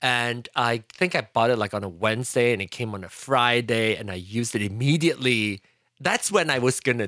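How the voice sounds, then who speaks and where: In a very clean recording with a silent background, a man with a Fujianese accent speaks in a bright, sharp tone with ordinary pitch variation. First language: Hokkien. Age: 40s. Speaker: podcaster and tech enthusiast. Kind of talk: casual chat.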